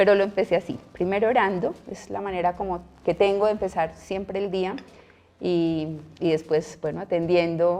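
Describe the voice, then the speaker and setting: A woman with a strong paisa accent, fairly low in pitch with ordinary variation, a dark, mellow tone and vocal fry, at a moderate pace. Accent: paisa (Antioquia), strong. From Colombia, Medellín (Antioquia). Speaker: nun and school principal. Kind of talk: interview conversation.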